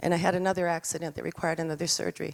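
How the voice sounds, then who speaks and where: In a New Mexican accent, a woman with a fairly low pitch talks at a very fast pace. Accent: New Mexican American English. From New Mexico, Albuquerque South Valley. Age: 60s. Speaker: artist with homelessness experience. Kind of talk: personal testimony.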